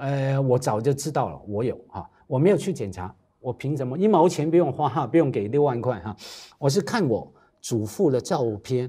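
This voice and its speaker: A man's intonation is lively. He talks at a moderate speed with a quiet background. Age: 50s. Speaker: talk show guest. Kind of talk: casual chat. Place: studio. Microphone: lapel.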